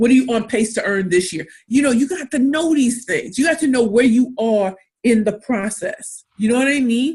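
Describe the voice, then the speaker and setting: Lively intonation and an animated tone fill this woman's fairly high-pitched voice. She speaks at a fairly quick pace and sounds somewhat breathy. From US Midwest, inner-city St. Louis, Missouri. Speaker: pitch coach and entrepreneur. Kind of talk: webinar talk.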